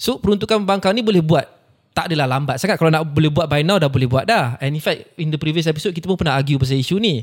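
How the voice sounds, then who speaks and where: Speaking in a plain, everyday voice, a man has a fairly high pitch. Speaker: podcast host. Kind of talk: casual chat.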